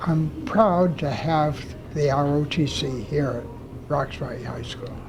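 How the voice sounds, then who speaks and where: The speech moves very slowly, with big swings in loudness, audible room echo and noticeable background noise. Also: man, fairly high pitch for a man, ordinary pitch variation. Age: 90s. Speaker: retired general. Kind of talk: interview.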